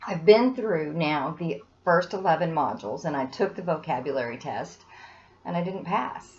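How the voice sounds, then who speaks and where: A woman's fairly low voice with lively intonation at a moderate pace, an ordinary speaking voice. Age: 60s. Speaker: student giving testimonial. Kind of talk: testimony.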